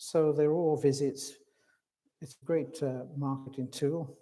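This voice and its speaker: This man has a fairly high pitch and a dark, mellow tone. He speaks in a Welsh accent with ordinary pitch variation. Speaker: hallmarking expert. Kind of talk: conference presentation. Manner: hesitant, many fillers.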